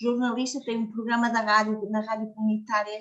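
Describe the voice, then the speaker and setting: A woman speaks with a fairly high pitch. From Portugal. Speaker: community worker and book contributor. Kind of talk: speech at a book launch. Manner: halting.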